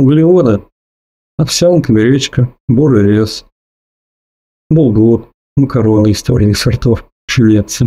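A dark, mellow, somewhat breathy voice with a calm tone, very slow pace, long, frequent pauses, ordinary pitch variation and very even loudness. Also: man, medium pitch for a man. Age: 40s. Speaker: weight-loss story contributor. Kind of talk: personal testimony. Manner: calm, measured.

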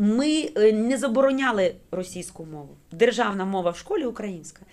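With very wide pitch swings, a woman with medium pitch talks at a fairly quick pace. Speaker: school director. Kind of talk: radio interview. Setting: studio.

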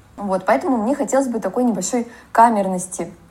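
A woman talks at a fairly quick pace in a dark, mellow tone that is somewhat breathy, with ordinary pitch variation. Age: 30s. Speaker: cadastral engineer and photographer. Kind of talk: personal story.

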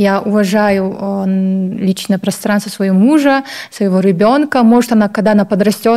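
A woman speaks in a normal speaking voice at a medium pitch and a moderate pace. Her intonation is fairly even and her loudness very even. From Kazakhstan, Baikonur. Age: young. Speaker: fashion blogger and model. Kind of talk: Q&A video interview.

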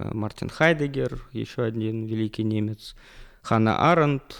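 On a very clean recording with a silent background, a man at a medium pitch speaks very slowly with ordinary pitch variation. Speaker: university lecturer. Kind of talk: interview. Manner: formal.

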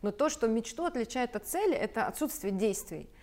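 Her fairly high-pitched voice carries lively intonation as a woman talks at a moderate pace in a normal speaking voice. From Belarus, rural village. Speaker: sales mentor and entrepreneur. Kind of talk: talk show conversation.

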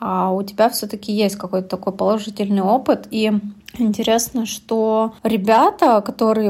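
Speaking at a moderate pace, a woman with a medium pitch sounds somewhat breathy, her intonation fairly even. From Russia, Yekaterinburg. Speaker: podcast co-host. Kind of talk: casual chat.

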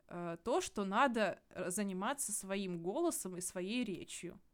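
Her intonation lively and her pitch medium, a woman speaks at a fairly slow pace. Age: 20s. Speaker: scientist, podcast co-host. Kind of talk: casual chat. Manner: animated, gesturing.

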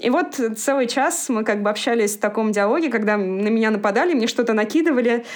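A woman's fairly high voice moves at a fairly quick pace against noticeable background noise. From Moscow, Russia. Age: 20s. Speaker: former cook moving into IT project management. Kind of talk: podcast interview.

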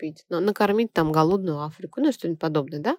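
Recorded dry and close with no echo, a woman speaks in a dark, mellow tone. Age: 30s. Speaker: radio host and theta healing instructor. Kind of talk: radio talk monologue.

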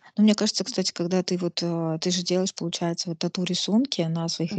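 A woman's fairly low voice, very fast and fairly even in intonation, dry and close with no echo over a quiet background. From Russia, Nizhny Novgorod. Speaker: podcast host. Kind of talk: casual interview.

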